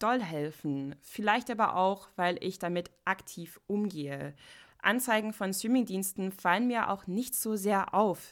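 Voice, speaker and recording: At a fairly slow pace, a woman with an unremarkable speaking voice talks with lively intonation in a very clean recording with a silent background. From United States. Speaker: podcast host. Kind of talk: solo podcast monologue.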